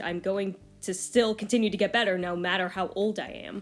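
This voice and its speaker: A woman's medium-pitched voice comes through with music in the background. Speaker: artist and video creator. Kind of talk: casual vlog advice talk. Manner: stuttering and hesitant with fillers.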